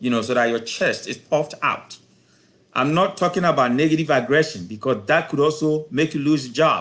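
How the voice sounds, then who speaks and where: A man talks at a fairly quick pace in an unremarkable speaking voice. His pitch is fairly high, with ordinary pitch variation. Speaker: professor giving a career talk. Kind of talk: lecture.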